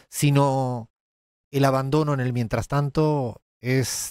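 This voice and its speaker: A man at a medium pitch with an Andalusian accent, very slow pace, and dry, close sound with no echo. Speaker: economist and political analyst. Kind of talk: political analysis commentary.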